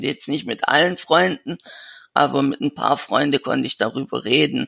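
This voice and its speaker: Recorded with a dry, close sound and no echo, a man speaks at a fairly high pitch with vocal fry. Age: 20s. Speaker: young man with a severe genetic illness. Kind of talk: interview. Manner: halting.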